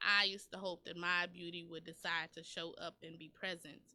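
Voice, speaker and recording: Her tone bright and sharp, a woman speaks at a fairly low pitch with fairly even intonation. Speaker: poet. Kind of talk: spoken word poetry performance; casual radio chat. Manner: storytelling, narrating; sassy.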